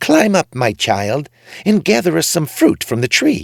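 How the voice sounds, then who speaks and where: A put-on character voice from a man, fairly high in pitch, at a moderate pace. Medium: read story.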